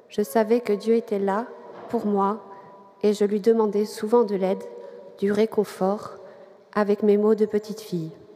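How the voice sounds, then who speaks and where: Noticeable background noise sits behind a woman with a fairly high pitch. She speaks at a fairly slow pace in a monotone, flat intonation. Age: 40s. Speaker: catechumen giving faith testimony. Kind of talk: testimony.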